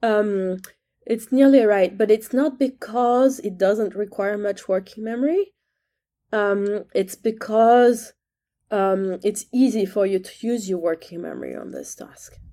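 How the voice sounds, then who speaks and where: A woman with a French accent, fairly high-pitched and dark, mellow in tone, at a fairly slow pace, with ordinary pitch variation and big swings in loudness, on a very clean recording with a silent background. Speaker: neuroscience professor. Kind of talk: interview conversation. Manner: hesitant, many fillers.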